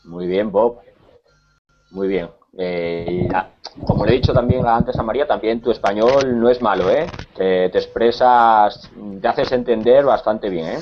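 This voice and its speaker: At a fairly slow pace with long, frequent pauses, a man speaks at a medium pitch with ordinary pitch variation. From Spain, Cáceres. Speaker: Spanish teacher. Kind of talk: online language class.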